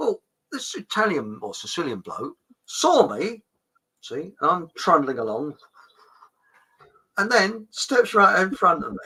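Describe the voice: A man speaks slowly at a high pitch, his tone bright and sharp with a slightly husky edge. His pitch swings very widely, broken by long, frequent pauses.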